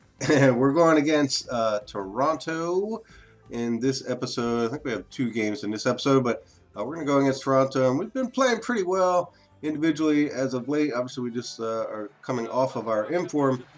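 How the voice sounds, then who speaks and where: A man at medium pitch with lively intonation and a fairly quick pace, with music in the background. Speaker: gaming video creator. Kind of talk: gameplay commentary. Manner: casual, with many filler words.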